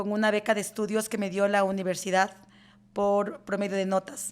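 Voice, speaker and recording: The voice is monotone with flat intonation, at a fairly slow pace. The recording is very clean, with a silent background. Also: woman. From Ecuador, rural Chimborazo highlands. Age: 50s. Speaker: lawyer and law firm CEO. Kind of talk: interview. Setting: in-person interview in an office.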